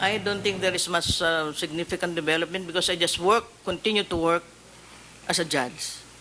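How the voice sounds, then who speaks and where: A high-pitched man at a fairly quick pace, with fairly even intonation and noticeable background noise. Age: 60s. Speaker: judge, judicial candidate. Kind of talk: public panel interview. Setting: hearing room. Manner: halting, many hesitations.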